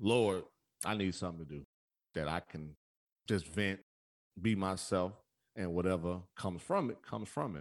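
At a moderate pace, a man with a very deep, low pitch talks in an animated tone with ordinary pitch variation. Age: 30s. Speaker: podcast host. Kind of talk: casual chat.

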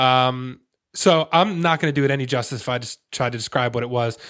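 On a very clean recording with a silent background, a man with an ordinary speaking voice talks at a fairly quick pace in a fairly high pitch. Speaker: podcast host. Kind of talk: casual interview chat.

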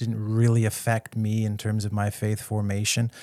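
A man with a Canadian accent speaks at a fairly slow pace in an ordinary speaking voice of medium pitch. The recording is very clean with a silent background and a dry, close sound with no echo. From western Canada (British Columbia, near Vancouver). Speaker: theology professor. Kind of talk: interview.

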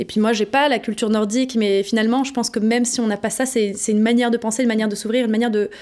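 On a very clean recording with a silent background, a woman talks at a very fast pace with a fairly high pitch, a dark, mellow tone and monotone, flat intonation. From France, Paris. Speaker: innovation consultant. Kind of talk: interview. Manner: hesitant, some repetitions.

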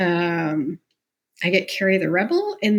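This woman has an ordinary speaking voice and a Canadian accent. She speaks at a fairly slow pace. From Canada, Mississauga near Toronto. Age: 40s. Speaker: entrepreneur and podcaster. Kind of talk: interview, personal life story.

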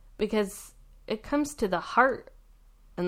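A woman with an American accent speaks at a moderate pace in an unremarkable speaking voice with lively intonation. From US Pacific Northwest, adopted from India as a baby. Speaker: stay-at-home mom, podcast guest. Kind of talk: casual family conversation.

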